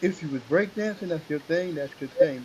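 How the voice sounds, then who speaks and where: Over noticeable background noise, a man talks with a fairly high pitch and ordinary pitch variation. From New York City (Queens). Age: 60s. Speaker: hip hop MC. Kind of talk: interview. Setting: radio show.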